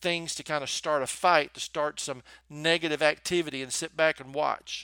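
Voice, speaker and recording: Recorded very cleanly with a silent background, a man with a Southern US accent speaks at a moderate pace and a fairly high pitch, in an animated, warm tone with big swings in loudness. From US South. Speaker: podcast host and motivational speaker. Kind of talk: motivational podcast monologue with prayer. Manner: animated, warm, encouraging.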